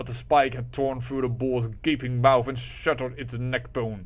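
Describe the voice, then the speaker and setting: A man is speaking. He keeps a moderate pace. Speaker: audiobook reader / gaming channel host. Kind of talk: dramatic fantasy story narration. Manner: smooth, friendly.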